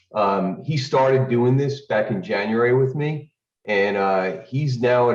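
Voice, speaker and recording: Heard with audible room echo, a man talks fairly slowly at a medium pitch with ordinary pitch variation. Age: 60s. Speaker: retiree learning trading. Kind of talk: casual testimony.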